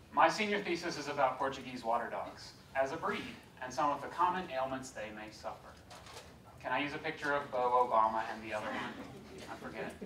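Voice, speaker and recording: Amid noticeable background noise and audible room echo, a man with a medium-pitched voice talks at a fairly quick pace with ordinary pitch variation, long, frequent pauses and big swings in loudness. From US South, Georgia. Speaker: law lecturer. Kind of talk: lecture.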